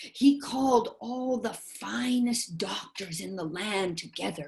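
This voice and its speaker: A woman puts on a character voice, pitched fairly high, at a fairly slow pace. Her intonation is lively, and her loudness swings widely. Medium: read story.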